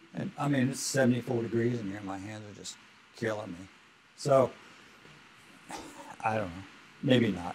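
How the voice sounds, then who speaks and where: A man's fairly low voice with fairly even intonation, big swings in loudness and long, frequent pauses, over noticeable background noise. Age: old. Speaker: retired cowboy and auctioneer. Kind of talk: interview answer.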